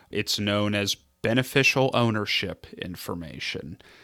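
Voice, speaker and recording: A man speaks with a bright, sharp tone at a fairly low pitch. His intonation stays fairly even. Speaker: estate planning attorney. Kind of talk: casual podcast interview. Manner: halting, filler-heavy.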